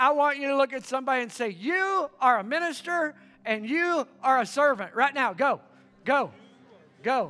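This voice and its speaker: At a moderate pace, a man's raised, projected voice rings out at an extremely high pitch with a bright, sharp tone and lively intonation. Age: 50s. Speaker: pastor. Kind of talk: sermon. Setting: church. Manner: animated.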